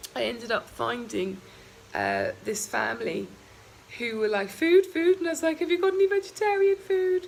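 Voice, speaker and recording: Moderate pace, with an English accent. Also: woman. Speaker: travel vlogger. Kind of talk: vlog monologue. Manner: hesitant with many ums.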